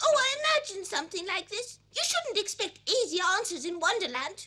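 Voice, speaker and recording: At a moderate pace, a put-on character voice squeaks at an extremely high pitch with a gentle tone. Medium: fan dub. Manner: gentle, sensible.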